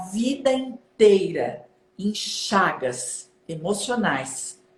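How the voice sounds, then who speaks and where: A woman speaks with very wide pitch swings. Noticeable background noise is present. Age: 60s. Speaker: self-development coach. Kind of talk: casual chat.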